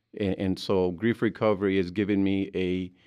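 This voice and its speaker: This man's voice is very deep and low, with a Mexican accent. The background is quiet. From Mexico. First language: Spanish. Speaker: grief recovery specialist. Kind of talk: interview. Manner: halting.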